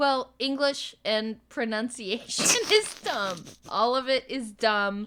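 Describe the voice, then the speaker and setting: A woman talks at a very slow pace with a high pitch and an American accent. Her pitch varies in an ordinary way. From United States. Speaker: podcast co-host. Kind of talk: casual chat.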